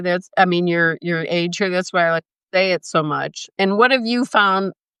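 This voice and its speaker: A woman with an American accent, medium pitch, and a bright, sharp tone, at a fairly slow pace with fairly even intonation in a dry, close sound with no echo. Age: 60s. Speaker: interviewer, travel creator. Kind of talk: interview. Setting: live stream.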